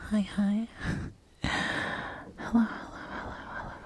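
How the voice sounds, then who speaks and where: A woman whispers at a fairly slow pace in a soothing tone. Background noise is noticeable. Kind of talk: ASMR comfort role play. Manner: whispered; soft-spoken, soothing.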